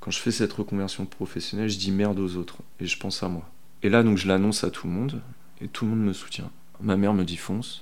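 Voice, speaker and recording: A man with a fairly low pitch talks at a very fast pace. His intonation is fairly even, and audible room echo can be heard. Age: 30s. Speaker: bicycle mechanic. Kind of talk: interview testimony. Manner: hesitant, many fillers and repetitions; casual, colloquial.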